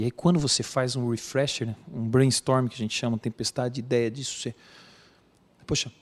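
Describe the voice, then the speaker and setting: A man's medium-pitched voice at a moderate pace. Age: 40s. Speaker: emergency physician. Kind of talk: interview. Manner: emotional, earnest.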